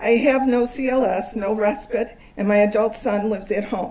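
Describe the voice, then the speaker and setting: A woman talks at a fairly high pitch with fairly even intonation. Noticeable background noise and audible room echo surround her voice. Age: 60s. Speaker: social worker and parent advocate. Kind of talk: testimony. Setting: town hall meeting with audience. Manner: formal.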